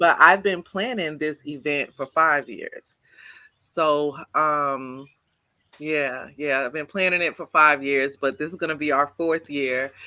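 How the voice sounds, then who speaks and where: A woman with an American accent speaks at a fairly slow pace. Her very deep, low pitch carries a bright, sharp tone. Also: ordinary pitch variation. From Boston and Beaufort, South Carolina. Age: 40s. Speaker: festival organizer. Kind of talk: interview. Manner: animated.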